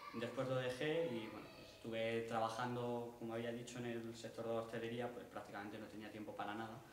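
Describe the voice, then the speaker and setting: A man speaks in a monotone with flat intonation. There is audible room echo and light background noise. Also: fairly quick pace. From Spain. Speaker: workshop participant. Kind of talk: personal testimony. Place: stage. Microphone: camera far.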